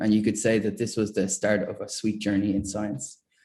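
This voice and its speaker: In an Irish accent, a man talks at a fairly quick pace with a fairly low pitch and a dark, mellow tone. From Ireland, greater Dublin area (school in Meath). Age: 20s. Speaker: chemistry prize winner, researcher. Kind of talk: award acceptance talk. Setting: online ceremony. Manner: halting, many fillers.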